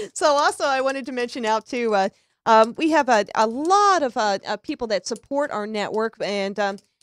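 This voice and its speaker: In a dry, close recording with no echo, a woman with a fairly high pitch speaks at a moderate pace with lively intonation. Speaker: radio talk show host. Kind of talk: casual talk radio chat. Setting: live internet radio stream. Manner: loud; halting, many fillers.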